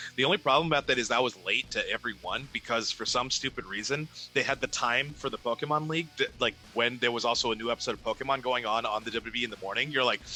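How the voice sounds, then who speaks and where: Very fast talking with ordinary pitch variation over background music. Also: man, medium pitch for a man. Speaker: ring announcer. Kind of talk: casual interview conversation.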